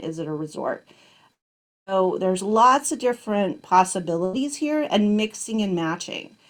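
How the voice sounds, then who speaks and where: Speaking at a moderate pace, a woman uses an unremarkable speaking voice at a medium pitch. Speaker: business workshop presenter. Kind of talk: online workshop lecture.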